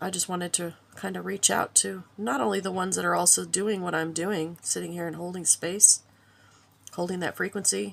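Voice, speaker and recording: Against noticeable background noise, a woman talks in a relaxed tone at a fairly quick pace. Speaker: spiritual video creator and crafter. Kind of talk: casual spiritual monologue. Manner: relaxed, hesitant with fillers.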